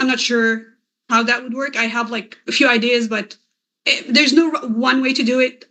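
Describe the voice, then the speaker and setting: A woman speaks in a raised, projected voice with a bright, sharp tone. Her pitch is high. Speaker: SEO consultant and course creator. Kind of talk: presentation talk. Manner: halting.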